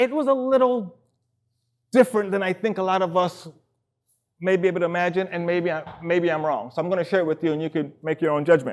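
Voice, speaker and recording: A man with a New York accent and a high pitch speaks at a very fast pace with ordinary pitch variation and long, frequent pauses. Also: very clean recording, silent background. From New York (Queens), Trinidadian parents. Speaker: dancer and choreographer, public speaker. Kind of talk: personal talk to an audience. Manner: casual, conversational.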